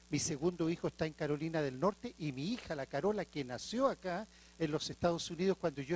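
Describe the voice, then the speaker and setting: A man with a Chilean accent, high-pitched for a man, fairly quick, with ordinary pitch variation, on a very clean recording with a silent background. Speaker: archbishop. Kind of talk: lecture.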